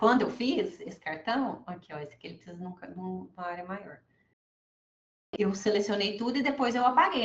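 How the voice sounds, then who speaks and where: Ordinary pitch variation marks this woman's fairly quick delivery. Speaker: labor calculation expert teaching a class. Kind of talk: online class / software tutorial. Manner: fast; casual, filler-heavy.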